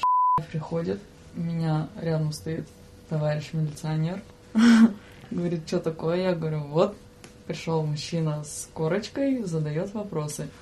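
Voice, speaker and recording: A woman's fairly low voice at a fairly slow pace, with long, frequent pauses and ordinary pitch variation. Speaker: train conductor and video operator. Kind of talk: casual chat. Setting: studio. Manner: loud.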